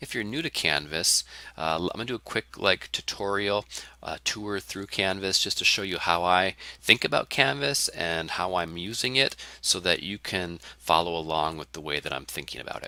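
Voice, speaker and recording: A man's very deep, low voice has a bright, sharp tone, ordinary pitch variation and big swings in loudness. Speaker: college English instructor. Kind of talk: course introduction lecture. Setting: recorded online course video. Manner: fast.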